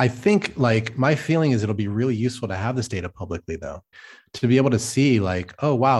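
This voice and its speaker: A somewhat breathy man at a fairly quick pace, with ordinary pitch variation, on a very clean recording against a silent background. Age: middle-aged. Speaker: crypto governance designer. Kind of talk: casual chat.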